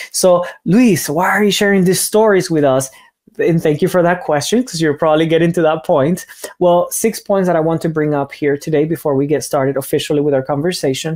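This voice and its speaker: Speaking with a Spanish accent, a man with a high pitch talks at a fairly quick pace, with ordinary pitch variation and very even loudness. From Cuba. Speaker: language teacher. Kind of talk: online seminar talk. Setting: online seminar. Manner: hesitant, word repetitions.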